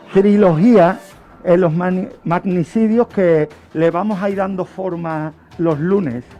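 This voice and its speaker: With music in the background, a man with a high pitch and ordinary pitch variation speaks at a very slow pace, leaving long, frequent pauses. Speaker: radio host presenting a true-crime history segment. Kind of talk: radio true-crime history narration.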